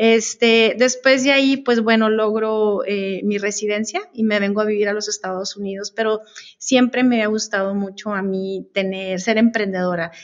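A woman with a fairly high pitch and fairly even intonation talks with hardly any pauses over a quiet background. It is an unremarkable speaking voice. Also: moderate pace. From northern Mexico, Chihuahua border; northern Mexico. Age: 50s. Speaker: customs broker; guest. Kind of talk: interview. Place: meeting room. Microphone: video call.

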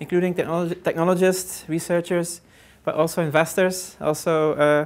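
An unremarkable speaking voice from a woman, fairly low in pitch, with fairly even intonation. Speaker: invited lecturer. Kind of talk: lecture. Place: hall.

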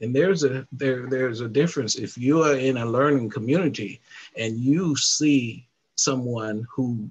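This man talks at a fairly slow pace, his voice somewhat breathy and his pitch varying in an ordinary way. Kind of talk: interview answer. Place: home room. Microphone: headset.

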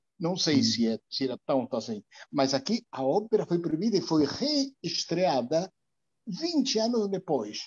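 Against a quiet background, a man with a high pitch speaks at a fairly slow pace with very wide pitch swings. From Argentina. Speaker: reading group participant. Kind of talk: group discussion. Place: home room. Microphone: earbuds.

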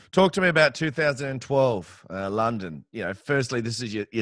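Lively intonation marks this man's speech in an Australian accent. The sound is dry with no echo, over a quiet background. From Australia, Campbelltown (Western Sydney); New South Wales, Australia. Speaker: podcast host. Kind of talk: interview. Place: home room. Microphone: headset.

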